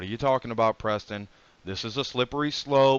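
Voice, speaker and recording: This man's voice sits at a medium pitch and has an animated tone. He moves at a fairly quick pace. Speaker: podcast host. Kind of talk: casual podcast chat. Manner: fast.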